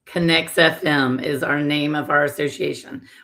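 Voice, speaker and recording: A woman with a Texas accent talks at a fairly slow pace. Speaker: industry association representative. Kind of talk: casual interview chat.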